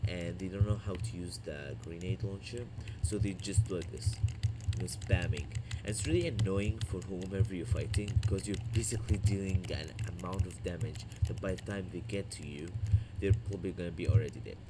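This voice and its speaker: A man speaks in a fairly low voice with a non-native accent. His loudness swings widely while his pitch varies in an ordinary way. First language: not English. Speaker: gaming youtuber. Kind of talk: gameplay tutorial. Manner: casual, hesitant.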